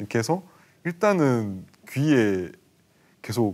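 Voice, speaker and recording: A man's voice with very wide pitch swings. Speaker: webtoon artist. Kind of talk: TV talk show discussion.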